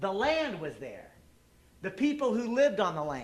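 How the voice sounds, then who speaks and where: A man with a Texan accent speaks at a high pitch and a moderate pace. His pitch swings very widely. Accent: Texan American English. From Texas. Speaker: activist speaker, former presidential candidate. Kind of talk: public talk. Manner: animated.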